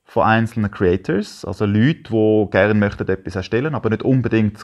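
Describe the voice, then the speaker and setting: With a Swiss accent and fairly even intonation, a man speaks at a fairly quick pace over a quiet background. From German-speaking Switzerland. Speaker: photographer; interview guest. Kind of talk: casual chat. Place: home room. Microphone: lapel.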